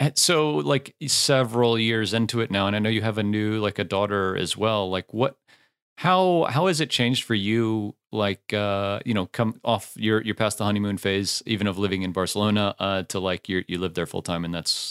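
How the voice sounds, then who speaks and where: A man with a plain, everyday voice speaks in an American accent at a fairly quick pace and fairly low pitch. The sound is dry and close with no echo, on a very clean recording with a silent background. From United States. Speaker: software founder, podcaster. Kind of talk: casual chat.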